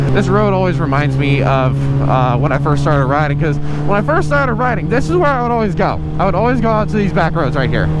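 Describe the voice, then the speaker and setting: A man talks at a very fast pace and a very even loudness, with audible room echo and noticeable background noise. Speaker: motovlogger. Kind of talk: motovlog riding commentary. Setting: on a motorcycle outdoors. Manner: casual, profane.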